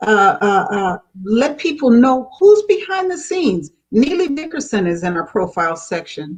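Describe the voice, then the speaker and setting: Talking at a moderate pace with hardly any pauses, a woman with an American accent has a high pitch and very wide pitch swings. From California. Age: 70s. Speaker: gospel magazine publisher. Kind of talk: interview.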